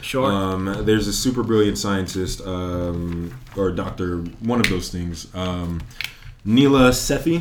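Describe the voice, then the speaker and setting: Over noticeable background noise and audible room echo, a man talks at a very slow pace with fairly low pitch and ordinary pitch variation. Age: 20s. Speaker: guest comic book fan. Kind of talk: casual chat.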